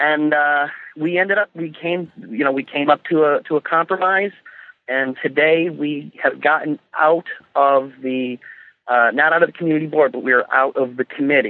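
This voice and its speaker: At a moderate pace, a man speaks in an ordinary speaking voice with a fairly high pitch and ordinary pitch variation. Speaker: caller, works on a TV comedy show. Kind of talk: casual chat. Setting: phone call.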